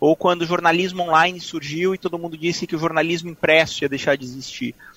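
Dry and close with no echo, a man's high-pitched voice carries a bright, sharp tone. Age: 30s. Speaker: journalist and former streaming communications executive. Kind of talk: interview conversation. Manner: halting, many repetitions.

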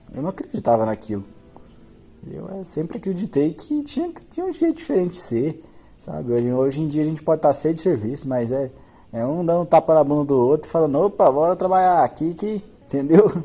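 A man speaks with lively intonation in a fairly high voice that has a dark, mellow tone. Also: fairly quick pace. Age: 20s. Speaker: podcast host. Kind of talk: monologue.

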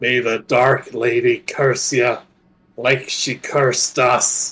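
Putting on a character voice, a man speaks at a very slow pace. His medium-pitched voice sounds raspy. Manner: dying.

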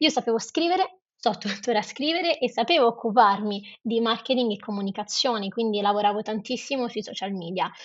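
Here is a woman with a plain, everyday voice at a fairly high pitch, talking at a fairly quick pace with lively intonation and hardly any pauses. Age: 20s. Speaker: non-profit founder. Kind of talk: interview.

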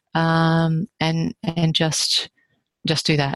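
A woman's very deep, low-pitched voice, with a dry, close sound and no echo. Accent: Australian. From Australia, rural New South Wales. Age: 50s. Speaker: author. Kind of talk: casual chat.

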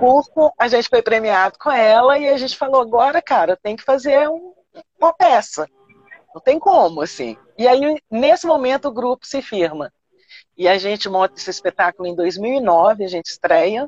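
A woman with a Minas Gerais accent speaks at a moderate pace in a fairly high voice, with very wide pitch swings and big swings in loudness. The sound is dry and close, with no echo. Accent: Mineiro Brazilian Portuguese. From Belo Horizonte, Minas Gerais, Brazil. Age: 60s. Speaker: stage and film actress. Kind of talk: interview on a live stream.

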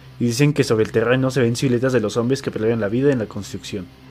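A man's voice over noticeable background noise. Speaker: podcast co-host. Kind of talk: reading aloud; casual chat.

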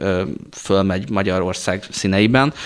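A man speaks in a normal speaking voice. His pitch is fairly low and his intonation fairly even. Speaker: flight instructor and space program training lead. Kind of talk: radio interview. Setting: studio.

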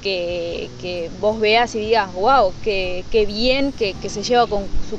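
Noticeable background noise sits under a woman speaking at a very slow pace with a fairly high pitch. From Uruguay, Treinta y Tres. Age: 20s. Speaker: model and beauty pageant contestant. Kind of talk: interview. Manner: halting, with frequent fillers and repetitions.

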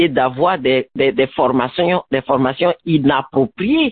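A woman speaks at a very slow pace. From Ivory Coast. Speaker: education student, radio guest. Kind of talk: radio interview.

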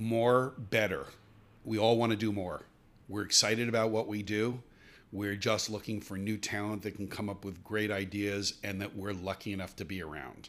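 A man speaks in a plain, everyday voice at a moderate pace with fairly even intonation. The recording is very clean and the background silent. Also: fairly low pitch for a man. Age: 60s. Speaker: media executive. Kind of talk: interview.

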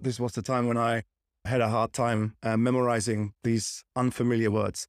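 The speaker has a German accent and a monotone, flat intonation. The recording is very clean with a silent background, and the sound is dry and close with no echo. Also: man. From Germany. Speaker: podcast host. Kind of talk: casual interview.

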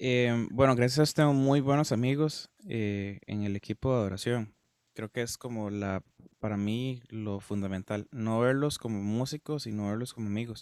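Dry and close with no echo, a man's plain, everyday voice sits at a medium pitch and moves at a moderate pace. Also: ordinary pitch variation. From Costa Rica, Guápiles. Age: 20s. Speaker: musician. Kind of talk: casual interview chat.

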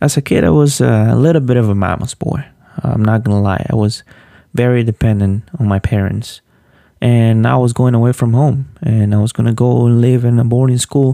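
A man with a Spanish accent speaks at a medium pitch in a dark, mellow tone. His pace is moderate, with ordinary pitch variation. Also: very even loudness. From Honduras, Olanchito. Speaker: podcast host, PhD student in animal science. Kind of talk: personal storytelling monologue.

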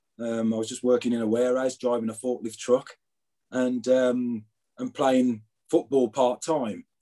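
A man speaks in a Birmingham accent with a dark, mellow tone. His intonation is monotone and flat, at a moderate pace. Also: medium pitch for a man. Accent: Birmingham (Brummie). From Birmingham, England. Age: 50s. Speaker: former footballer. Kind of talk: interview. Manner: hesitant, many fillers.

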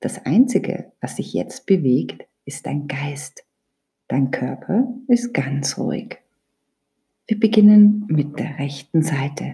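The speaker uses a calm, soothing tone at a very slow pace, with long, frequent pauses. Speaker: yoga teacher / meditation guide. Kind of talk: guided meditation (Yoga Nidra). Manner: slow, calm, soothing; gently instructive, with long pauses.

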